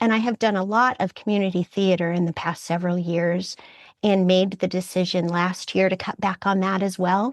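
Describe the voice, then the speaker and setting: A woman speaks at a moderate pace in a plain, everyday voice, her pitch medium. The sound is dry and close, with no echo. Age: 60s. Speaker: retiree returning to college, community theater actor. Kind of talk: interview conversation. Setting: public library, remote call.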